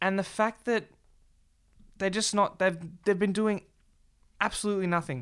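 Speaking at a moderate pace with an Australian accent, the voice sounds animated, with long, frequent pauses. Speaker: football show host. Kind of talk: casual banter podcast chat. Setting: studio, filmed video show. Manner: animated, joking.

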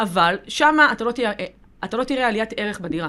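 A woman speaks in a plain, everyday voice at a fairly high pitch, with lively intonation and a fairly quick pace. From southern Israel. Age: 20s. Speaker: lawyer and real estate broker. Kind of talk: podcast interview.

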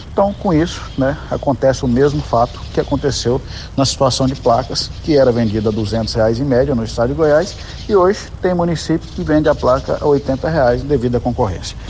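Noticeable background noise accompanies a man with a medium pitch. He talks at a moderate pace with lively intonation. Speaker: state transit agency head. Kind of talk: recorded voice message.

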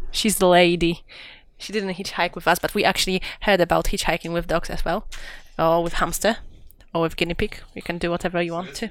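A woman talks at a fairly quick pace with monotone, flat intonation in a very clean recording with a silent background. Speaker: podcast host. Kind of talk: casual chat. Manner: joking, playful, talkative.

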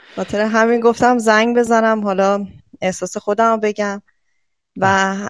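Fairly slow and fairly even in intonation, a woman speaks at a medium pitch. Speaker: caller. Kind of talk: casual call-in.

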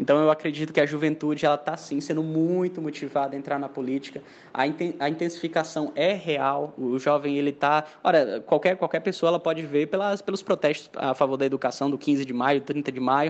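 A man at fairly high pitch and fairly quick pace, fairly even intonation and hardly any pauses. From Mossoró, Rio Grande do Norte, Brazil. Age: 20s. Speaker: engineering student, young political activist. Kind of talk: casual discussion. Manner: halting, many repetitions and fillers.

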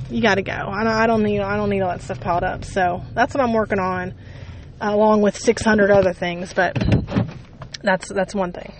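A woman with an American accent at medium pitch, moderate pace and ordinary pitch variation, over noticeable background noise. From Ohio. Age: 30s. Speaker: podcast host. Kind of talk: casual monologue. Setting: in a car. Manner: rambling, conversational with fillers.

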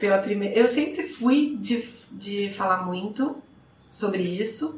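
With noticeable background noise and audible room echo, a woman talks very slowly in a fairly high pitch, her intonation lively. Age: 30s. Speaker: podcast guest. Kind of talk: casual chat.

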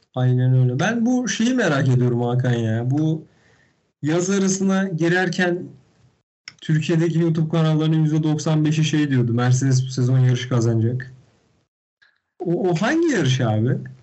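Amid audible room echo, a man speaks at a fairly slow pace with a fairly high pitch, lively intonation and very even loudness. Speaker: motorsport podcast co-host. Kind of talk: casual chat. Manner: animated. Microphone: poor internet connection, bad sound.

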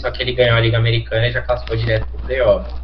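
Noticeable background noise runs through the clip, along with audible room echo. Within it, a man speaks very fast. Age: 20s. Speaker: professional esports player. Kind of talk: casual chat.

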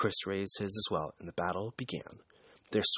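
Reading aloud in a natural voice with fairly even intonation

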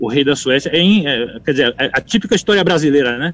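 Fairly quick, fairly high-pitched speech from a man. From Bahia, Brazil. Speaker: conductor and composer. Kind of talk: interview. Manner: halting, many repetitions.

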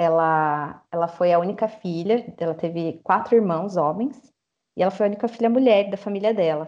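Against a quiet background, a woman speaks in an ordinary speaking voice at a medium pitch. Her pace is moderate, with ordinary pitch variation. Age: 30s. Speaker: social worker. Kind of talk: casual interview.

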